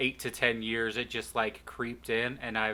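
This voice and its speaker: A man with an American accent speaks at a fairly slow pace in a medium pitch. His tone is bright and sharp, and the recording is very clean with a silent background. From US West. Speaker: podcast co-host. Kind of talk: casual chat.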